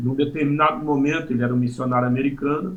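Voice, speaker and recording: A man speaks at a medium pitch with ordinary pitch variation, somewhat breathy. Audible room echo surrounds his voice. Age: 60s. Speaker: pastor. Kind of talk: testimony. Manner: halting, many fillers.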